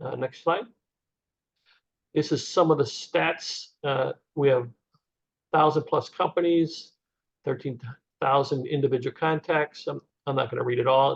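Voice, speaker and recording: In a somewhat breathy, fairly high voice, a man speaks at a moderate pace with fairly even intonation. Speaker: conference organizer presenting webinar. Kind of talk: webinar presentation. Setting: video call webinar.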